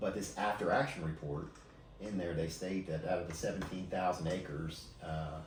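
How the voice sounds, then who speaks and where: Over background music and audible room echo, a man with a very deep, low pitch talks at a fairly quick pace with fairly even intonation. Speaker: emergency services leader. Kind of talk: podcast interview. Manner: halting, many fillers and repeats.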